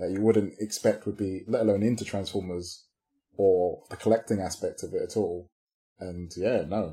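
Somewhat breathy and dark, mellow in tone, a man speaks at a fairly low pitch with fairly even intonation. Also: moderate pace. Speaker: podcast co-host. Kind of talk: casual chat.

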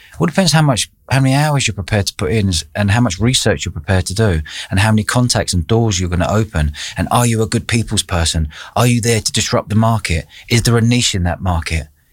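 On a very clean recording with a silent background, a man with a London accent talks very fast in a fairly low, somewhat breathy voice with ordinary pitch variation. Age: 40s. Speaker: entrepreneur. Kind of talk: interview. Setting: studio.

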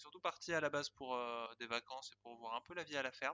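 The man's voice has a bright, sharp tone and moves at a fairly quick pace. It is recorded dry and close, with no echo. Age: 20s. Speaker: guesthouse co-owner training to be a farmer. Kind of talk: testimony.

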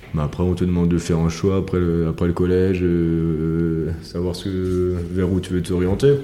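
A man speaks in a very deep, low pitch at a moderate pace, with monotone, flat intonation and hardly any pauses. Noticeable background noise and audible room echo are present. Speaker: winemaker. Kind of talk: casual chat. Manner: halting.

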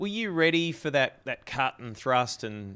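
A man with an Australian accent, a bright, sharp tone and lively intonation. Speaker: TV host and podcast interviewer. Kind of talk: interview conversation; scripted outro.

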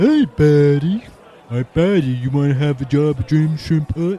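A fairly high-pitched put-on character voice from a man, delivered at a moderate pace. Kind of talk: casual, chatty. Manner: friendly, inviting.

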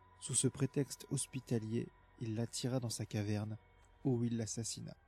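With music in the background, a man talks at a moderate pace and medium pitch, his intonation fairly even. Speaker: intro announcer and reader of quoted passages. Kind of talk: scripted reading of quotes.

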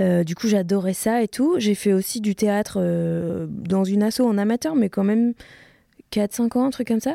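In a dry, close sound with no echo, a woman of medium pitch talks at a fairly slow pace with a dark, mellow tone and very even loudness. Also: ordinary pitch variation. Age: 30s. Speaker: historian and content creator. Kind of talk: casual interview. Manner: animated.

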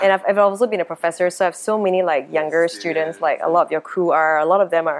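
At a medium pitch, a woman talks in an unremarkable speaking voice, her pitch varying in an ordinary way. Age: 40s. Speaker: theatre director and entrepreneur. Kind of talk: interview.

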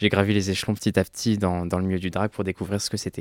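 Speaking very fast, a man keeps a monotone, flat intonation at a fairly low pitch. The sound is dry and close with no echo, in a very clean recording with a silent background. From France, Ardèche. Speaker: drag queen. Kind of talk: casual chat.

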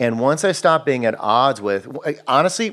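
Here is an ordinary speaking voice from a man. He speaks at a fairly quick pace with lively intonation. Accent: American. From Wisconsin. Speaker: filmmaker and comedian. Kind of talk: casual interview chat. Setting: home garage studio.

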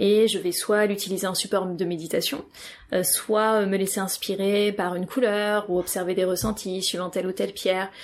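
In a very clean recording with a silent background, a woman uses a normal speaking voice at a moderate pace. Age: 30s. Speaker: yoga teacher. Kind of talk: interview.

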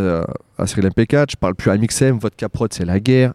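A man with a medium pitch, a dark, mellow tone and ordinary pitch variation is heard in a dry, close sound with no echo, in a very clean recording with a silent background. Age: 30s. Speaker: actor and YouTuber. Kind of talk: casual chat. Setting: outdoors on a street. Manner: animated.

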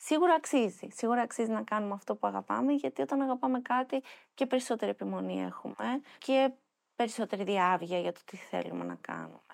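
Over a silent background on a very clean, dry, close recording with no echo, a woman talks at a fairly quick pace with big swings in loudness. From Athens, Greece. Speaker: nonprofit founder. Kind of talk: interview.

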